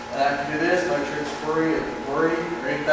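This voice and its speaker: A man at a moderate pace amid loud background noise and audible room echo. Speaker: student demonstrator. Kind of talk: tutorial. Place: workshop. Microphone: camera far.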